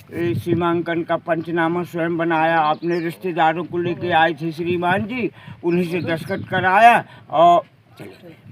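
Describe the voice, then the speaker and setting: This man has a high pitch. His intonation is fairly even. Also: big swings in loudness. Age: 60s. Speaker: villager, witness. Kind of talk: news interview.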